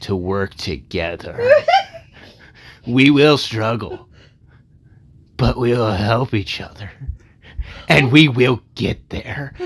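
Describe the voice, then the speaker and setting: A man's put-on character voice, raspy and at a medium pitch, very slow with long, frequent pauses. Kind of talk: narration voice.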